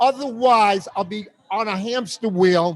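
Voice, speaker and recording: A loud man's voice, high in pitch. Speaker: comedian. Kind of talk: casual chat. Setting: live stream from a bar.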